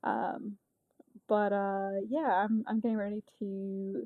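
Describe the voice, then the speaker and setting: Her voice sits at a medium pitch. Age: 30s. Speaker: podcast host and spiritual coach, soldier. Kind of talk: casual monologue podcast. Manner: halting, many fillers.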